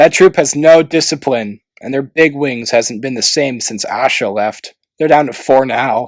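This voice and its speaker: A man does a gruff, put-on character voice at a medium pitch. He keeps a moderate pace with hardly any pauses. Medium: read story. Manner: blunt, gruff.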